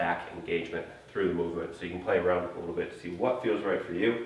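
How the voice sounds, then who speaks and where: Very fast speech comes through with audible room echo and noticeable background noise. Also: man. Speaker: fitness coach. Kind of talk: tutorial.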